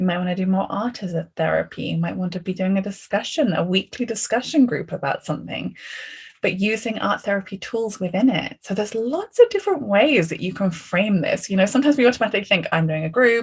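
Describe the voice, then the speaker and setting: A woman with an English accent speaks very fast at a medium pitch, somewhat breathy, with ordinary pitch variation. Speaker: art therapist and course teacher. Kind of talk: online class discussion. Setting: video call. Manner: casual, conversational.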